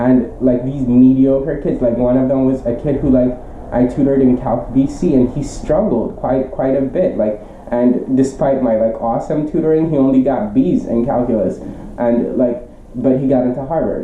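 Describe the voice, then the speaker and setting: With a non-native accent, the speaker talks at a moderate pace over noticeable background noise. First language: not English. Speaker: teacher and tutor. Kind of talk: casual vlog monologue. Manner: halting, many fillers.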